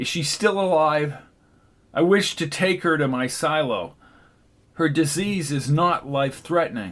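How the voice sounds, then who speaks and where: A man puts on a character voice, pitched fairly high, speaking at a moderate pace with long, frequent pauses, on a very clean recording with a silent background. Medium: read story.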